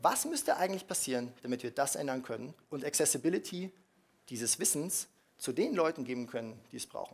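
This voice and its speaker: This man talks at a fairly quick pace with lively intonation. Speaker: startup founder; speaker. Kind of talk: conference talk. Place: hall.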